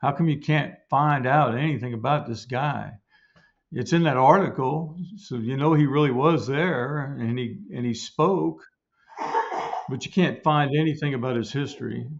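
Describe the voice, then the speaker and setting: This man's voice sits at a fairly high pitch. He talks at a moderate pace with ordinary pitch variation. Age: 60s. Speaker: author researching family history. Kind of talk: podcast interview. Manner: halting, many repetitions.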